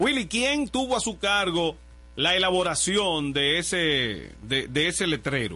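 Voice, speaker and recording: A man's fairly slow, high-pitched voice, with very wide pitch swings and very even loudness. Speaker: radio host. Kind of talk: casual chat. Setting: radio studio.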